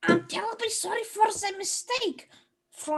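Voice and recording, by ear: The background stays quiet. Reading aloud happens in a natural voice.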